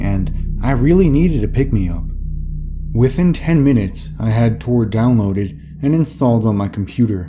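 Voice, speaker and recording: Lively intonation moves along at a moderate pace while music plays in the background. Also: man. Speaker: narrator. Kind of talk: horror story narration.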